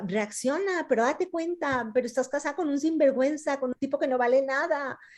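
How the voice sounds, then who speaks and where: A woman is speaking here. Her pitch is high. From Ecuador, Quito. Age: 50s. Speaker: novelist. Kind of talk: author talk with students, Q&A. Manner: hesitant, many fillers.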